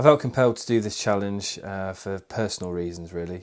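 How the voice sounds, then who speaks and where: A man with a West Midlands accent talks at a fairly low pitch with ordinary pitch variation against a quiet background. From England, Worcestershire. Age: 20s. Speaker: charity fundraiser. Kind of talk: video statement to camera.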